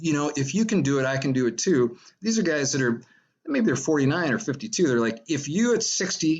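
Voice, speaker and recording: With an ordinary speaking voice, a man talks at a moderate pace and a fairly high pitch, his intonation lively. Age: 60s. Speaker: retired investor and fitness blogger. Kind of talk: casual chat. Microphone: echo on line.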